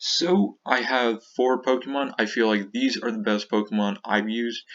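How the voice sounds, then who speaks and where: A man with a medium pitch speaks at a moderate pace in an enthusiastic tone, his pitch varying in an ordinary way. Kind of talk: casual game strategy talk. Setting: low-quality computer microphone.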